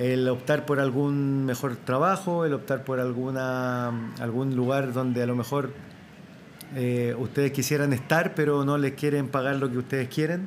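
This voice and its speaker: A man's normal speaking voice, medium in pitch, at a fairly slow pace with very even loudness and fairly even intonation. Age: 40s. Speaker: retired footballer and players' union president. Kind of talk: interview with children before live audience. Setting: school event with live audience.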